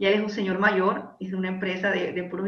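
Talking at a very fast pace, a woman is heard with audible room echo. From Panama. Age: 30s. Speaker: life coach and industrial engineer. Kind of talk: interview conversation.

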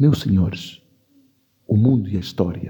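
In a dark, mellow tone, a man speaks somewhat breathily. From São Tomé and Príncipe. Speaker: actor and storyteller. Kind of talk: interview.

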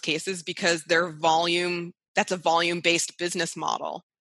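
The tone is bright and sharp, at a moderate pace, with a dry, close sound and no echo. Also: woman. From US, upstate New York (Rochester). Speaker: massage therapist and spa owner. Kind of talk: casual interview.

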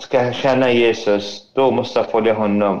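This man has an Arabic accent. He speaks at a very slow pace. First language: Arabic (speaking Swedish). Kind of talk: testimony. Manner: halting.

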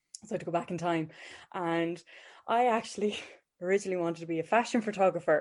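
A woman with a west of Ireland accent, fairly low in pitch, at a very fast pace with long, frequent pauses, fairly even intonation and a quiet background. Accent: rural west of Ireland. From Ireland, County Galway, rural. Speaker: mental health nurse. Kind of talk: casual interview chat.

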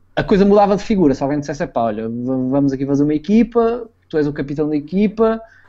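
With a European Portuguese accent, a man talks at a fairly quick pace with lively intonation. His fairly high pitch comes with a dark, mellow tone. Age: 20s. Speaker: former esports player. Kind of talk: interview. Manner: halting.

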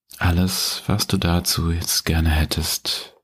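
Very slowly, a man speaks in a very deep, low pitch, somewhat breathy, with a gentle, warm tone. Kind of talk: guided meditation. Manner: slow, calm, soothing, with long pauses; gentle, warm, addressing listener as du.

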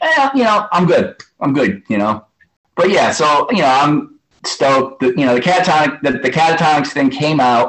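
Speaking with an American accent in a normal speaking voice, a man with a fairly high pitch keeps a moderate pace, lively intonation and very even loudness. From New York City. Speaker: hardcore punk musician. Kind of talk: interview.

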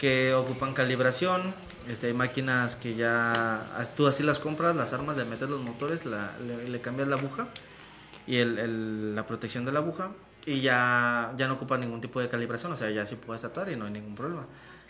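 At a moderate pace, a man in a medium pitch speaks with ordinary pitch variation, with noticeable background noise and audible room echo around him. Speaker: internet radio show host. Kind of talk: casual chat.

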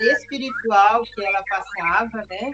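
Against noticeable background noise, a woman speaks very slowly at a fairly high pitch with fairly even intonation. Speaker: spiritist center volunteer. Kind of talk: interview.

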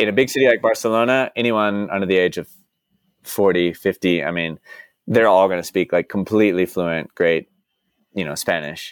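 Using a plain, everyday voice, a man with an American accent talks at a moderate pace, with fairly low pitch and ordinary pitch variation. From Dallas, Texas. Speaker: expat who worked in banking abroad. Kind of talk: casual interview chat.

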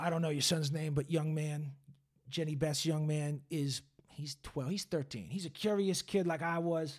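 Here a man speaks in a plain, everyday voice at a fairly high pitch. He keeps a moderate pace and fairly even intonation. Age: 30s. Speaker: podcast host. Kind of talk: casual chat. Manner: profane, casual.

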